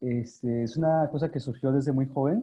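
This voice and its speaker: Speaking with an Oaxacan accent, a man uses a medium pitch and fairly even intonation. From Sierra Norte de Oaxaca, Mexico. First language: Zapotec (speaking Spanish). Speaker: language activist. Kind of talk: interview. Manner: halting, many fillers.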